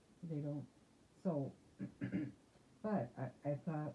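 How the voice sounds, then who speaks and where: A woman with a very deep, low pitch speaks at a fairly slow pace, her dark, mellow, somewhat breathy voice showing ordinary pitch variation. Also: long, frequent pauses. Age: 60s. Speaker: interviewee, grandmother. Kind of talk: oral history interview. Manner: halting, with self-repairs.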